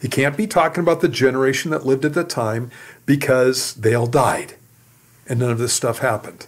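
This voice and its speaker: At a fairly quick pace, a man speaks in a normal speaking voice, medium in pitch with ordinary pitch variation. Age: 60s. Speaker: pastor. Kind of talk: Q and A teaching on radio.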